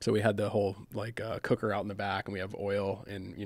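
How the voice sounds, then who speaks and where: The voice has a clear vocal fry and an American accent. The recording is very clean, with a silent background. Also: man. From US Midwest, Michigan. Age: 40s. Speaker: firefighter. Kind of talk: interview.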